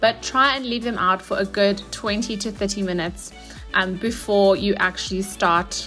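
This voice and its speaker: Faint music plays in the background. The voice shows ordinary pitch variation. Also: woman. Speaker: fitness food vlogger. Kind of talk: casual cooking tutorial. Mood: cheerful, joking. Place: kitchen.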